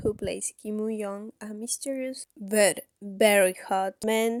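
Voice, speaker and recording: A woman's fairly high-pitched voice with a non-native accent, dry and close with no echo. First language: not English. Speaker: k-drama reviewer / youtuber. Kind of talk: casual video review. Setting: at home, sister outside the room. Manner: halting, self-correcting.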